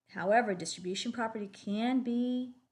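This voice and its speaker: With ordinary pitch variation, a woman talks in a somewhat breathy way. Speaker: math teacher. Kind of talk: recorded lesson. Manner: fast; hesitant fillers.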